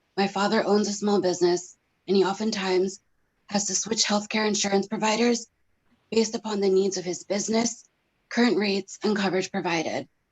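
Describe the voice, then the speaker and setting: A somewhat breathy woman with an American accent speaks at a fairly quick pace, keeping a medium pitch and fairly even intonation. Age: 30s. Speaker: pharmacy technician and patient. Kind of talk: testimony. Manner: formal.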